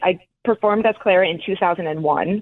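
A woman in an American accent, fairly low in pitch with ordinary pitch variation, a normal speaking voice. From New Jersey, North Caldwell. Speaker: professional dancer. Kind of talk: interview.

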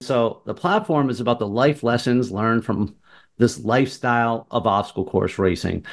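Over a quiet background, a man with a plain, everyday voice and an American accent speaks at a moderate pace in a medium pitch with ordinary pitch variation. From Martha's Vineyard, Massachusetts. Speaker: cancer survivor and obstacle course athlete. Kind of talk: interview.

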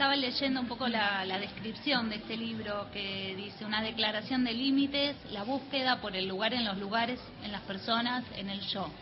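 Over noticeable background noise, a woman with a fairly high pitch talks at a moderate pace with hardly any pauses and fairly even intonation. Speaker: radio co-host.

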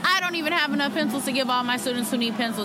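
Some background noise can clearly be heard. Over it, a woman talks. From Oakland, California. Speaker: teacher. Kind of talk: protest speech. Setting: outdoors at a protest. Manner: earnest, passionate.

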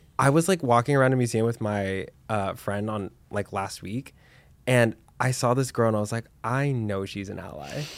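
A man with an American accent, medium pitch, a plain, everyday voice, ordinary pitch variation and a moderate pace. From Texas, Dallas. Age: 20s. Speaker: podcast host. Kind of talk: casual chat.

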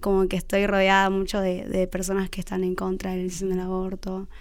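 Audible room echo around a woman speaking at a medium pitch. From Buenos Aires, Argentina. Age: young. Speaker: community footballer and university student. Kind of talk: radio interview.

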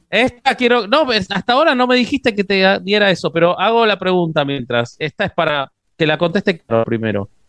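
At a moderate pace, a man speaks at a high pitch with very wide pitch swings, the sound dry and close with no echo. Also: very even loudness. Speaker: interviewer. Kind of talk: casual chat.

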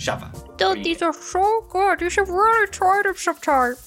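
A female-sounding put-on character voice pitches itself extremely high. Music is clearly audible in the background. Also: moderate pace. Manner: gleeful, mouth full.

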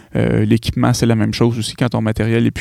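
A man with a Quebec accent, medium-pitched, at a fairly quick pace. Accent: Québécois French. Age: 30s. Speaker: podcaster. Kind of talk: solo podcast monologue. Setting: home studio. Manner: hesitant, many fillers.

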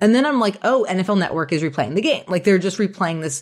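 On a very clean recording with a silent background, a woman of medium pitch speaks very fast with lively intonation. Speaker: media analyst and podcast co-host. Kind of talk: casual chat.

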